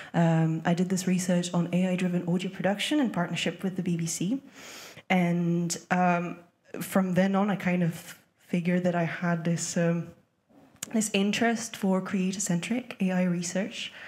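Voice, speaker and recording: Somewhat breathy and fairly low in pitch, a woman speaks at a moderate pace with fairly even intonation and very even loudness. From France. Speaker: music professor and researcher. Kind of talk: conference panel talk.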